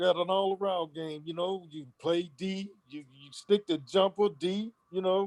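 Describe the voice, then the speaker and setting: Recorded dry and close with no echo, a man with an American accent speaks slowly at a high pitch, fairly even in intonation and with hardly any pauses. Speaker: former basketball player. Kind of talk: interview. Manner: halting, repetitive.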